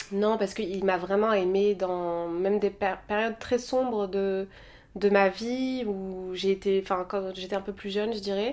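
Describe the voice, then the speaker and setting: A woman with a plain, everyday voice at a medium pitch speaks at a fairly slow pace with fairly even intonation, in a very clean recording with a silent background. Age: 30s. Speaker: podcast guest, Instagram personality. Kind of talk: casual chat.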